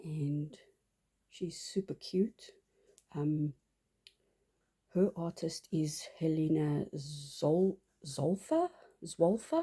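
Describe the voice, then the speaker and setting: The voice has a dark, mellow tone, somewhat breathy and fairly even in intonation, moving at a very slow pace with long, frequent pauses. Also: woman, fairly low pitch for a woman. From South Africa. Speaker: doll collector vlogger. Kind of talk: casual show-and-tell vlog. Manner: halting, many fillers.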